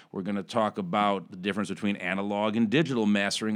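A man with an American accent has an unremarkable speaking voice and a fairly low pitch. He speaks at a fairly quick pace in a very clean recording with a silent background. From Chicago. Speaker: recording studio owner. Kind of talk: casual interview. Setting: studio.

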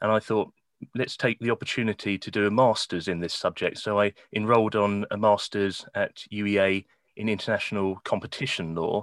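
A man with a southern English accent speaks at a fairly low pitch with fairly even intonation, in a dry, close sound with no echo against a quiet background. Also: moderate pace. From England, Kent. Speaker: law lecturer. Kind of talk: interview.

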